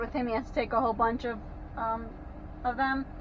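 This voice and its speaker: This woman speaks with a high pitch. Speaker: RV delivery driver and vlogger. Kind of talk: casual vlog monologue while driving. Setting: in a vehicle on the road. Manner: loud; hesitant, many fillers.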